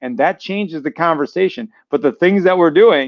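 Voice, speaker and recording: In an American accent, a man speaks at a moderate pace with an animated tone and lively intonation. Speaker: school superintendent. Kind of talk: casual chat. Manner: loud.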